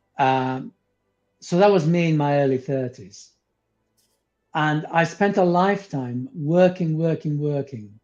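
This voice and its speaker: Over music in the background, a man with a fairly high pitch speaks at a fairly slow pace, with ordinary pitch variation and long, frequent pauses. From came to the UK at eleven from abroad. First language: not English. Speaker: spiritual teacher, former psychotherapist. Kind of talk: interview conversation. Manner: halting, with fillers.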